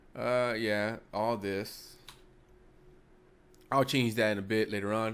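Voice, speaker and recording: A man talks very slowly in a fairly low pitch, with flat, monotone intonation. Long pauses come frequently. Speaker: coding tutorial creator. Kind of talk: tutorial. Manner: casual, halting with fillers.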